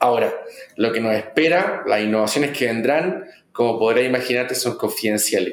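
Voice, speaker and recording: A man's medium-pitched voice at a fairly quick pace, with very even loudness, ordinary pitch variation and audible room echo. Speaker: marketing executive. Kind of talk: interview.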